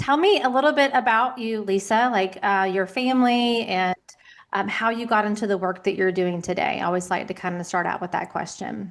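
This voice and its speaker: A woman's medium-pitched voice with a South Carolina accent, a fairly quick pace and a quiet background. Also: ordinary pitch variation. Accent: Southern US, South Carolina. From US South, South Carolina. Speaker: podcast host, life coach. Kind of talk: interview podcast. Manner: animated.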